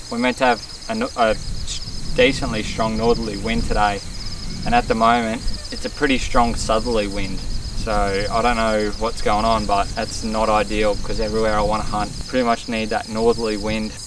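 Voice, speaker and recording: Over noticeable background noise and audible room echo, a man talks with an Australian accent. His pitch is medium, his pace moderate and his intonation monotone and flat. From Australia, Victoria. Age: 20s. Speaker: bowhunting vlogger. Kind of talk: casual vlog talk to camera. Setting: outdoors in the bush. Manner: hesitant, with restarts.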